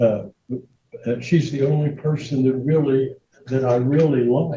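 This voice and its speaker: At a fairly slow pace, a man talks in a fairly high pitch with a dark, mellow tone and fairly even intonation. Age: 80s+. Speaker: defendant in court. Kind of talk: testimony. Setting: courtroom. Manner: loud; halting.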